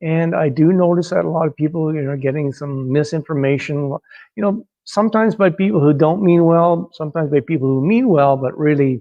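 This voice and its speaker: A man with an ordinary speaking voice talks at a fairly quick pace. His fairly high pitch shows ordinary pitch variation. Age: 60s. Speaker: personal trainer. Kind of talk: personal testimony monologue. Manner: casual with many fillers.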